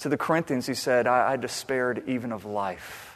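A man speaks at a moderate pace with medium pitch and ordinary pitch variation. It is an ordinary speaking voice. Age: 30s. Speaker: pastor. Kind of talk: sermon.

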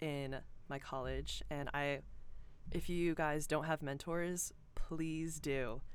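Recorded very cleanly against a silent background, a woman with an American accent speaks in a very deep, low pitch. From Georgia, US South. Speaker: student newspaper editor-in-chief. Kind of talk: casual interview. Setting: podcast studio.

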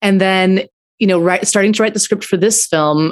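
A woman talks in a normal speaking voice at a fairly quick pace. Her pitch is medium, with ordinary variation. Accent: General American. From US, Aurora, Colorado. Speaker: film writer and director. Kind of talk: interview.

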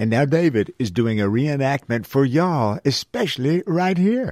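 A man with a Southern US accent talks at a moderate pace in a medium pitch with lively intonation, the sound dry and close with no echo over a quiet background. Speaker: radio host. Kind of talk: casual chat. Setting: studio. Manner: animated.

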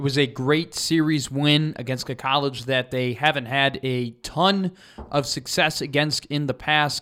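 In an ordinary speaking voice, a man with an American accent talks at a fairly slow pace, fairly high in pitch with fairly even intonation. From Chicago, US Midwest. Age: 20s. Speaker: student podcast host, sports. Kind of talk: casual sports podcast.

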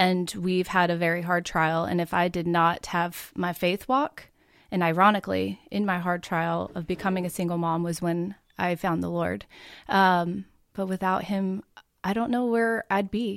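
A woman with an American accent talks at a moderate pace in a plain, everyday voice, fairly low with fairly even intonation. The recording is very clean, with a silent background. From Oregon. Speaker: bakery owner. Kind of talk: interview.

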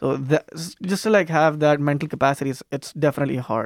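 Recorded very cleanly against a silent background, a man with a fairly high pitch speaks at a very fast pace, the sound dry and close with no echo. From outside the US. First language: not English. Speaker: student stand-up comedian. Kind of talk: casual chat. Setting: radio studio.

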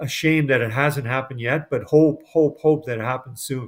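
A man with a Canadian accent, a normal speaking voice, fairly high pitch, ordinary pitch variation and a moderate pace. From Edmonton, Alberta, Canada. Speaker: sports broadcaster. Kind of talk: casual interview.

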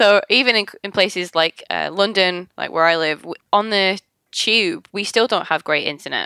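A woman with a Manchester accent speaks at a moderate pace in a medium pitch with ordinary pitch variation and a bright, sharp tone, recorded dry and close with no echo, very clean against a silent background. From Manchester, England. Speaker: UX consultant and software developer. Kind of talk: casual podcast interview.

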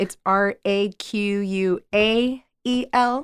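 A woman talks in a normal speaking voice at a medium pitch, with fairly even intonation. The recording is very clean, with a silent background. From US, Mexican-American. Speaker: actress and acting coach. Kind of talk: casual chat. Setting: studio.

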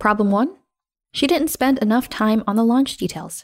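Moderate pacing from a woman, very clean recording, silent background. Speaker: podcast host and storyteller. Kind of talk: scripted narration reading a creator story.

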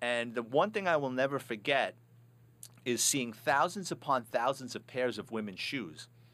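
Speaking with a New York accent, a man uses a medium pitch and ordinary pitch variation at a moderate pace. The recording is very clean, with a silent background. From New York City, the Bronx. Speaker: retired police officer and author. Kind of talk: casual interview, storytelling. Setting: studio.

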